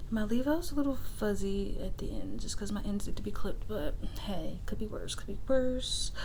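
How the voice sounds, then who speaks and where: A soft-spoken woman with a relaxed tone at a moderate pace, amid noticeable background noise. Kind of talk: ASMR soft-spoken rambling to camera. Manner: soft-spoken, relaxed, casual.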